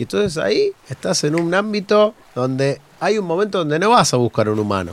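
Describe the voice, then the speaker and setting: Speaking in an Argentine accent, a man lets his pitch swing very widely. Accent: Rioplatense Argentine Spanish. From Buenos Aires, Argentina. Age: 40s. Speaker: university professor and researcher. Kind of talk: casual interview chat.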